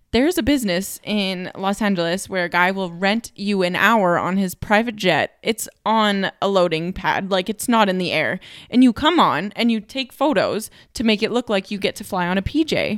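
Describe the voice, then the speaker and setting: A plain, everyday voice from a woman, medium in pitch, with ordinary pitch variation and hardly any pauses, on a very clean recording with a silent background and a dry, close sound with no echo. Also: moderate pace. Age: 20s. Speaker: podcast co-host. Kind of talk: casual chat.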